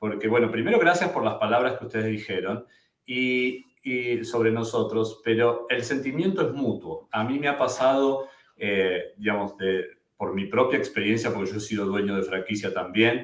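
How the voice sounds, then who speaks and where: A man with an Argentine accent speaks at a medium pitch and moderate pace with ordinary pitch variation. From Argentina. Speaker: immigration lawyer. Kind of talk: webinar presentation. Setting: live webinar.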